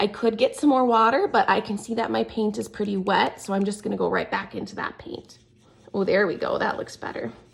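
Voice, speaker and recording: There is noticeable background noise. Over it, a woman talks at a fairly quick pace. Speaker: art teacher. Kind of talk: tutorial.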